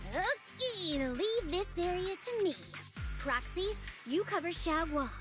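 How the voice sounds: A woman uses a cartoonish character voice at an extremely high pitch, with lively intonation and a fairly bright tone. She speaks at a slow pace over faint music in the background.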